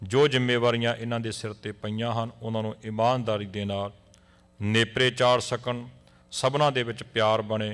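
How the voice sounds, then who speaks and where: On a very clean recording with a silent background, a man speaks at a medium pitch in a monotone, flat manner. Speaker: Sikh clergy member. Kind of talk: prayer (ardas).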